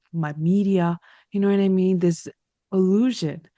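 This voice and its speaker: A woman with an American accent speaks at a medium pitch in a dark, mellow tone. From United States. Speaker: talk show host. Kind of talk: interview.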